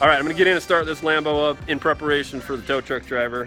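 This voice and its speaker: Music plays behind the speaker. He is a man with a fairly high voice. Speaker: police officer and family vlogger. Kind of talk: casual vlog narration. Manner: loud.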